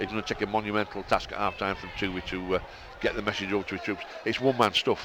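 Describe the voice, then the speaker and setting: A man with a strong Bradford accent speaks at a very fast pace in a fairly low pitch, with monotone, flat intonation. Noticeable background noise sits behind him. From northern England, Bradford. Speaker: radio co-commentator. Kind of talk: live sports commentary.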